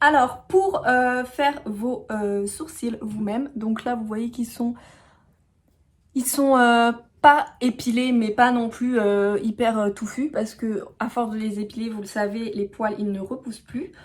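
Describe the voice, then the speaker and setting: Speaking very slowly, this woman's voice is fairly high and shows ordinary pitch movement. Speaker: beauty YouTuber. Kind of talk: tutorial. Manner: hesitant, many fillers.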